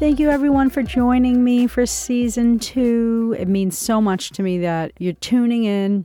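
A woman speaks at a fairly slow pace with a dark, mellow tone. The recording is very clean and silent behind her, with a dry, close sound and no echo. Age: 50s. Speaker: podcast host. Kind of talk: personal monologue.

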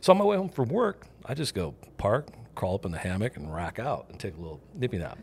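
A man talks very fast with vocal fry, very wide pitch swings and big swings in loudness. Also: medium pitch for a man. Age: 50s. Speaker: uncle of the host, shrimper and electrician. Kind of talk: casual chat.

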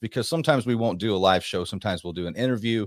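In a very clean recording with a silent background, a man with a plain, everyday voice speaks at a medium pitch with ordinary pitch variation. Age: 40s. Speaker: podcast host. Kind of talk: casual chat.

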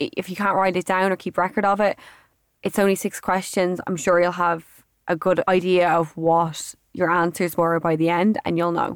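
At a moderate pace and in an Irish accent, the speaker delivers flat, monotone lines over a very clean, silent background with dry, close sound and no echo. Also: woman, fairly low pitch for a woman. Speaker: podcast host. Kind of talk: casual monologue. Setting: studio.

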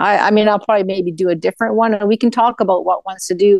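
A woman with a normal speaking voice, medium pitch and ordinary pitch variation, in a dry, close sound with no echo. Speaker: caller. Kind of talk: casual chat.

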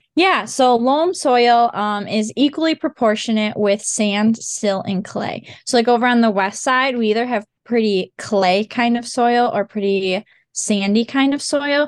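Against a quiet background, a woman speaks at a fairly slow pace with hardly any pauses, a fairly high pitch and ordinary pitch variation. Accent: Upper Midwest. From western Michigan, Oceana County. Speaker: agriculture student ambassador. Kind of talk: casual interview.

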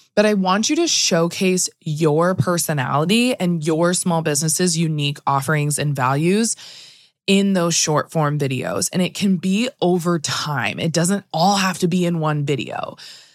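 A woman with a normal speaking voice, fairly low pitch, ordinary pitch variation and moderate pace. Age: 30s. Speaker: podcast host, attorney and photographer. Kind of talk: solo podcast talk. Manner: casual, frequent laughs.

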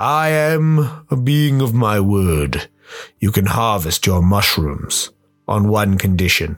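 A man's fairly low voice at a fairly slow pace, with very wide pitch swings, very even loudness and music in the background. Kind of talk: radio play drama. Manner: playful, teasing, menacing.

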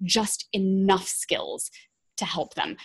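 A woman talks in a somewhat breathy voice. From England. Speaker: website designer and strategist. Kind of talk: casual interview chat.

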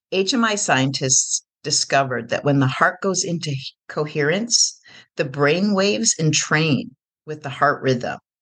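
The voice has a warm, gentle tone and moves at a fairly slow pace. The background is quiet. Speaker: podcast host and coach. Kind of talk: guided meditation. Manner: slow, soothing, hypnotic, repetitive; warm, gentle, calm.

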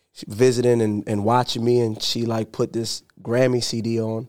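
The man speaks at a moderate pace. His intonation is flat and monotone. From New York, Dominican family. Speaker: rapper and entrepreneur. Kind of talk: casual interview.

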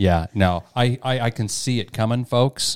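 Fairly slow and with ordinary pitch variation, a man with an American accent speaks in an ordinary speaking voice, dry and close with no echo, on a very clean recording with a silent background. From rural Kansas. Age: 40s. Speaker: IT worker. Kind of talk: casual chat.

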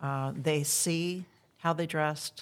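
The intonation stays fairly even in a Midwestern US accent, on a very clean recording with a silent background. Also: woman. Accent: General American, Midwestern. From US Midwest, Iowa. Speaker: living historian. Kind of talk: interview.

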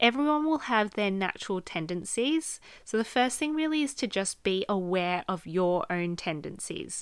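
On a very clean recording with a silent background, a woman with an Australian accent speaks at a medium pitch with very wide pitch swings and hardly any pauses. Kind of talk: solo podcast monologue, advice. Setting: recording studio / home podcast setup. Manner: slow.

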